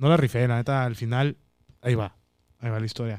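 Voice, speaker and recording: Very fast speech from a man, with ordinary pitch variation. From Mexicali, Baja California, Mexico. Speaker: stand-up comedian. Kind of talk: casual chat.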